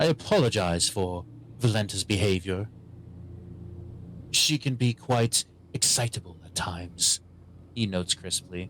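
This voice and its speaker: A man's put-on character voice, resonant and fairly low in pitch, at a moderate pace with long, frequent pauses and clear background noise. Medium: actual play. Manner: crisp, cordial, courtly.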